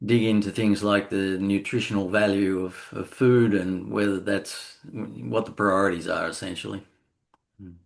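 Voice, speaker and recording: A man speaks with an Australian accent at a fairly low pitch and a moderate pace. His loudness swings widely against a quiet background. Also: ordinary pitch variation. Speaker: session moderator. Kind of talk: casual chat.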